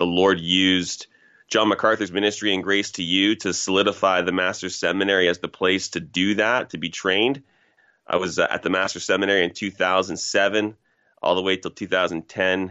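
This man, with a Canadian accent, has a very deep, low pitch and speaks at a moderate pace in a monotone, flat intonation. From Canada, Toronto (Scarborough, Ontario). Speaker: pastor. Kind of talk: interview.

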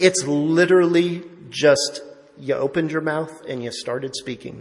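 A man's fairly high voice, fairly even in intonation, at a moderate pace with audible room echo. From Italian-American family. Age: 40s. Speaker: lay preacher. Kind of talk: sermon.

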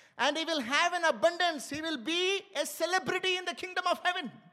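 His voice is raised and projected. The man's tone comes across bright and sharp. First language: Indian language, not English. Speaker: pastor. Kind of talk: sermon. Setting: church.

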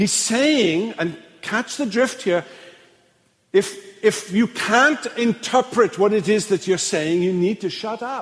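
A man with a Welsh accent speaks very slowly in a high pitch with ordinary pitch variation. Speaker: pastor. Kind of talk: lecture. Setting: church.

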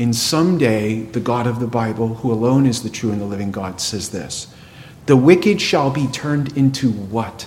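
Amid noticeable background noise and audible room echo, a man speaks at a moderate pace in a medium pitch with ordinary pitch variation. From New England. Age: 50s. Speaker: pastor. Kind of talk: sermon.

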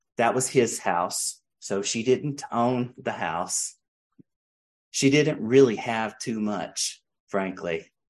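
A man with an American accent speaks very slowly. His intonation is lively. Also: medium pitch for a man. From US South, mountains of North Carolina. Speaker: pastor. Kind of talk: sermon.

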